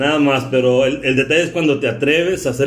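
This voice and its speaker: A man speaks at a fairly high pitch and a fairly quick pace, his intonation fairly even. Audible room echo surrounds his voice. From Sonora, Mexico. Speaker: podcast host. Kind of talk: casual interview chat.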